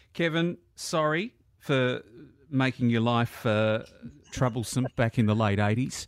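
Speech with an Australian accent comes at a fairly slow pace, with long, frequent pauses and ordinary pitch variation. The loudness stays very even in a dry, close sound with no echo. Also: man, medium pitch for a man. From Melbourne, Australia. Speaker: radio presenter, podcast host. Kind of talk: podcast narration and interview.

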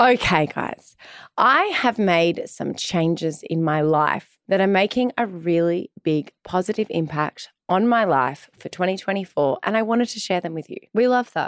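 With an Australian accent and a medium pitch, a woman speaks at a moderate pace with lively intonation and hardly any pauses, in a dry, close sound with no echo. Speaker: podcast co-host. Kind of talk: casual chat. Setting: studio.

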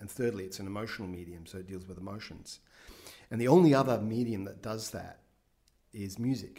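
A man with an Australian accent speaks fairly quickly in a fairly low pitch with a dark, mellow tone. His loudness swings widely, while his pitch varies in an ordinary way. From Australia, Brisbane. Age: 50s. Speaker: film director. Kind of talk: interview.

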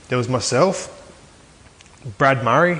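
There is noticeable background noise as a man talks with an Australian accent. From Aberdeen, New South Wales, Australia. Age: 20s. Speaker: former rugby league player. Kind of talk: casual interview.

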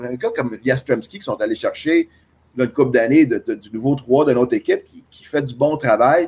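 A man with a normal speaking voice talks at a moderate pace, fairly high in pitch, with fairly even intonation. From Quebec. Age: 50s. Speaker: baseball scout. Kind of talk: interview.

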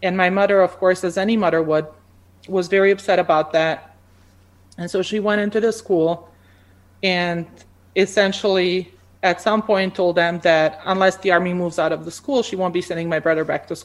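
A woman with a Bosnian accent speaks at a moderate pace and medium pitch, keeping her intonation fairly even. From Bosnia and Croatia. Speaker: pharmacy academic. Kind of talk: interview. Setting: video call.

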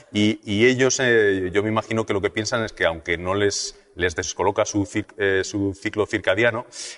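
Using a normal speaking voice, a man talks at a fairly low pitch with fairly even intonation. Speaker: physicist and weather presenter. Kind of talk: interview explanation.

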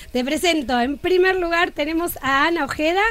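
With an Argentine accent, a woman speaks at a moderate pace and with lively intonation. Music sits in the background. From Argentina. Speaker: sports journalist. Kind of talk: radio interview.

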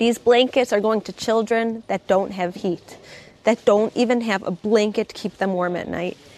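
There is noticeable noise in the background. Over it, a woman speaks in a fairly high voice. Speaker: charity president. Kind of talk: charity appeal.

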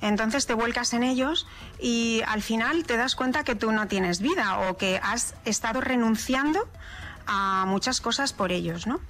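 A woman's fairly high voice at a fairly slow pace, with ordinary pitch variation and very even loudness. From Spain, raised in Madrid (born in La Mancha). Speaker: chef and food stylist. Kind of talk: interview. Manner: halting.

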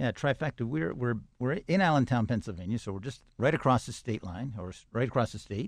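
A man with a normal speaking voice talks at a medium pitch and fairly quick pace, with hardly any pauses, against a quiet background. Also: lively intonation. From Canada, Toronto. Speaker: tech company CEO and founder. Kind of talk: radio interview.

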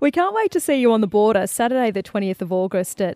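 Sounding dry and close with no echo, a woman with an Australian accent speaks with very wide pitch swings. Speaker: radio host. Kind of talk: radio interview.

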